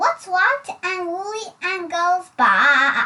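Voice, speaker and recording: Squeaky and extremely high, a woman's put-on character voice moves at a very slow pace. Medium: read story. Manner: smug, scornful.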